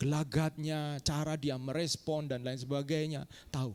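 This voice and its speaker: Animated in tone, a man with a fairly high pitch talks over a silent background in a very clean recording. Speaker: pastor. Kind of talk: sermon. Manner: animated, addresses congregation.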